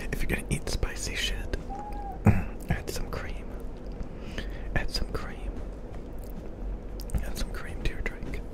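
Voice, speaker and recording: A soft-spoken man talks at a fairly slow pace with long, frequent pauses, his voice dry with no echo against loud background noise. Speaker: streamer. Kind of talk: casual vlog chat. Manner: soft, close-mic ASMR murmur. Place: home room. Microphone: studio mic.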